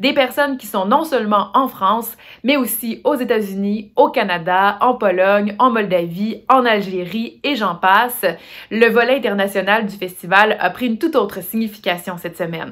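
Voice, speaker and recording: At a moderate pace, a woman with a Quebec accent speaks in a fairly high pitch. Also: ordinary pitch variation. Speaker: master of ceremonies. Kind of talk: award ceremony hosting. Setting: recorded at home for online broadcast.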